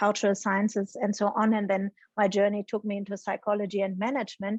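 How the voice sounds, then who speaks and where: A woman with a German accent speaks at a fairly high pitch, the sound dry and close with no echo over a quiet background. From Germany. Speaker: psychology professor. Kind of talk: interview conversation. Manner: hesitant, frequent ums.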